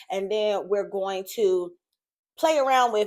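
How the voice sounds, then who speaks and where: A woman with an ordinary speaking voice and lively intonation, recorded very cleanly against a silent background. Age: 30s. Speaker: YouTuber. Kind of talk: tutorial. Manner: casual, chatty.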